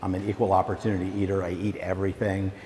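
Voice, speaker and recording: A man speaks loudly with an American accent. Noticeable background noise is present. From Virginia, US South. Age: old. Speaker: documentary filmmaker. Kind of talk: school talk to students.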